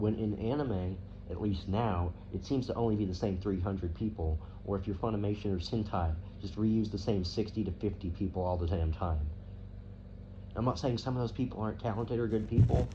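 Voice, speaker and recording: Somewhat breathy, a man with an American accent has a dark, mellow tone and fairly low pitch with ordinary pitch variation. He talks at a fairly quick pace, and audible room echo can be heard. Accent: slight southern accent, comes out at times. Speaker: anime commentator. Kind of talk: rant. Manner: animated; halting.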